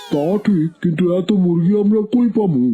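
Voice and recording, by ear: This is a cartoonish character voice at a middle pitch. It moves along at a moderate pace.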